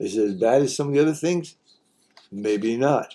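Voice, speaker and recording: Dark, mellow male voice at medium pitch, with lively intonation and a fairly slow pace. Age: 80s+. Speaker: commentary vlogger. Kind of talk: opinion commentary, partly read from notes. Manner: impassioned, halting with repetitions.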